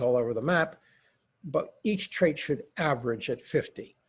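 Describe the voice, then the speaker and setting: A man speaks at a moderate pace in a fairly high, somewhat breathy voice. His intonation is lively, and the background is quiet. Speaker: psychologist and lawyer consultant. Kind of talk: webinar presentation.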